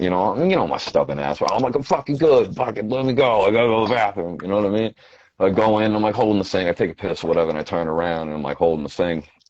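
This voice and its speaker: An American-accented man with a fairly low pitch talks at a very fast pace with lively intonation. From Quincy, Massachusetts. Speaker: rapper. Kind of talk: casual interview chat.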